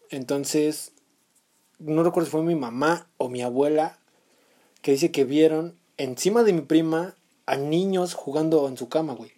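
A man with a Mexican accent speaks at a fairly high pitch in a dark, mellow tone, with ordinary pitch variation and big swings in loudness. His pace is fairly slow, broken by long, frequent pauses. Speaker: podcast co-host. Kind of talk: casual chat.

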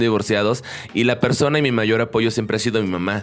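A man talks at a very fast pace and a medium pitch. Noticeable background noise runs behind him. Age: 30s. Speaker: podcast host. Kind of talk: casual interview.

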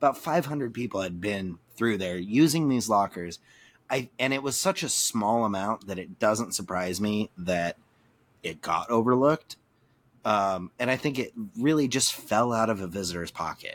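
A man with an unremarkable speaking voice, medium pitch and lively intonation at a moderate pace, on a very clean recording with a silent background. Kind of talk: casual chat.

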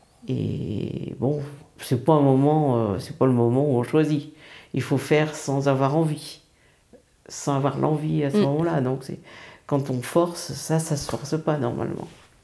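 In a room with audible echo, a woman speaks at a very slow pace in a very deep, low voice with a dark, mellow tone, vocal fry, ordinary pitch variation, and long, frequent pauses. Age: 60s. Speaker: retiree and grandmother. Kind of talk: casual chat.

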